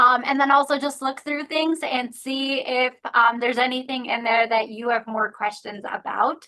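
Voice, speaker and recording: Raising and projecting her voice, a woman speaks in a high pitch with a bright, sharp tone, fairly even intonation and hardly any pauses. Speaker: zoo educator. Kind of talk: webinar presentation. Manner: fast.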